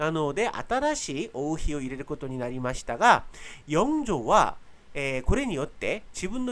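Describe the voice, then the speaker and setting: The speaker talks fairly slowly with a Korean accent. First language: Korean (speaking Japanese). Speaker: history YouTuber. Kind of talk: educational narration. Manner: hesitant with frequent fillers.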